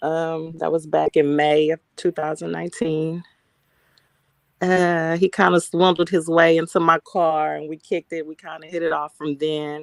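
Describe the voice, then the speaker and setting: A woman speaks with a Texas accent at a moderate pace, her pitch very deep and low, her intonation monotone and flat. Loudness swings widely, and the sound is dry and close with no echo. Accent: Southern US, Texas. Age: 40s. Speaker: interview guest. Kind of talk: interview.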